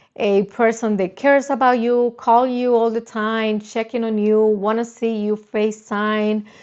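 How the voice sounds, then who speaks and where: With a Spanish accent, a woman speaks in a fairly high pitch at a fairly slow pace, her intonation monotone and flat and hardly any pauses between words. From Dominican Republic. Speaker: YouTuber, dating and confidence coach. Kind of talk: live stream chat. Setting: live stream. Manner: halting, with repetitions and restarts.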